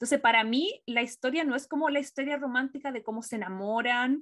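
Delivery moves at a fairly quick pace. The pitch varies in an ordinary way. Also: woman. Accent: Chilean. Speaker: film and TV podcast co-host. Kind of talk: casual chat.

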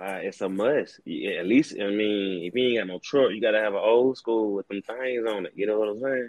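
Speaking at a fairly quick clip with hardly any pauses, a man with a Southern US accent keeps his intonation fairly even. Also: fairly low pitch for a man. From Alabama, small country town. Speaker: rapper and show host. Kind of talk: casual chat.

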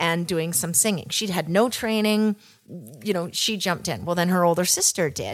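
A woman with a Western Canadian accent, fairly low-pitched, at a fairly quick pace with ordinary pitch variation. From Canada, Kelowna, British Columbia. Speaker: real estate agent, podcast co-host. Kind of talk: casual chat.

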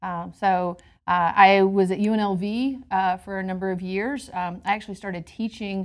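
Here a woman uses a normal speaking voice at a medium pitch. She speaks at a fairly slow pace. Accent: American. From US South, Georgia. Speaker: hospitality program leader at a university. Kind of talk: interview. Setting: quiet indoor space on a campus.

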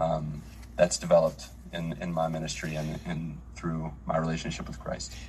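With an Appalachian accent, a man with a very deep, low pitch talks at a moderate pace with ordinary pitch variation over noticeable background noise. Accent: American, Appalachian. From US, West Virginia. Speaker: missionary pastor. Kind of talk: casual chat.

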